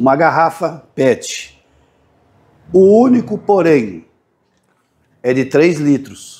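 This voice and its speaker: Speaking very slowly with long, frequent pauses, a man uses a fairly high pitch that swings very widely while his loudness stays very even. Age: 50s. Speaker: YouTube DIY maker. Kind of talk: casual tutorial. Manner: halting, repetitive.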